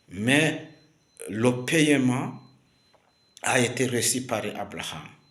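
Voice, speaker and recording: A man talks very slowly in a Rwandan accent. Room echo is audible. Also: medium pitch for a man, ordinary pitch variation. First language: Kinyarwanda (speaking French). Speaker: preacher. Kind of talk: sermon. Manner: halting, many fillers and repetitions.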